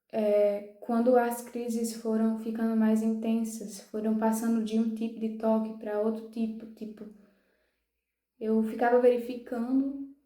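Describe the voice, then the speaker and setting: In a room with audible echo, a woman speaks fairly slowly at a fairly high pitch, her tone dark and mellow and her intonation flat and monotone. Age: 20s. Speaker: youtuber sharing personal mental health story. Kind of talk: personal testimony. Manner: halting, with restarts.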